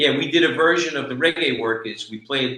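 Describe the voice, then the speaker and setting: A man with a New York accent speaks at a fairly slow pace and medium pitch, his tone bright and sharp and his intonation lively. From New York, the Bronx. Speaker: reggae musician, keyboardist. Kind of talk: casual chat.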